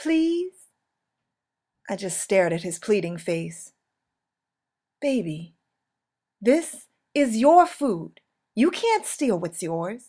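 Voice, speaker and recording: Fairly high in pitch with a dark, mellow tone, a woman speaks at a very slow pace with very wide pitch swings. She leaves long, frequent pauses in a very clean recording with a silent background. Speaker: poet. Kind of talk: spoken word poetry performance.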